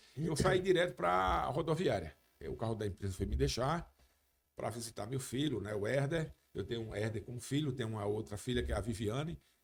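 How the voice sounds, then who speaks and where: Very wide pitch swings and vocal fry run through this man's speech. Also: medium pitch for a man, fairly quick pace. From Brazil, Paraíba (João Pessoa). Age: 60s. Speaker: radio and TV sports journalist, former police officer. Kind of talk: podcast interview. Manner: halting, many false starts.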